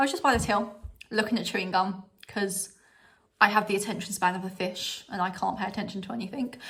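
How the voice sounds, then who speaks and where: At a very fast pace, a woman talks with a strong British accent. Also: medium pitch for a woman. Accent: strong regional UK. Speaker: vlogger. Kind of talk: casual haul vlog. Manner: animated.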